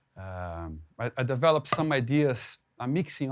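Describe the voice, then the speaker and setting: A man speaks with a Portuguese accent. The recording is very clean, with a silent background. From Brazil. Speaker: drummer and drum educator. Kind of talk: drum clinic talk. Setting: live clinic with audience. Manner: halting, many repetitions and fillers.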